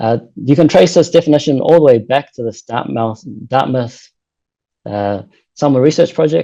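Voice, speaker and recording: A man with a New Zealand accent speaks at a medium pitch in a dark, mellow tone, with ordinary pitch variation. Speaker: postdoctoral researcher. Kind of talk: lecture. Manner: fast.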